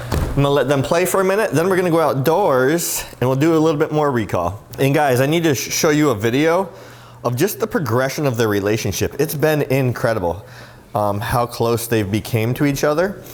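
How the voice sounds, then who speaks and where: A man's fairly high-pitched voice with lively intonation at a fairly quick pace over noticeable background noise. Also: very even loudness. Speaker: dog trainer and dog vlogger. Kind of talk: casual vlog with training tips. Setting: at home, indoors and backyard. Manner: animated, upbeat.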